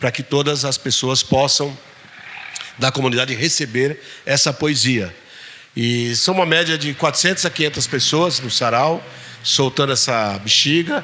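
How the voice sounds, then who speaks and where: A man speaks at a fairly slow pace in a fairly high voice with ordinary pitch variation. Long, frequent pauses break up his speech, and noticeable background noise can be heard. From São Paulo city, south zone periphery. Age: 60s. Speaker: poet. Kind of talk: Q&A talk with audience.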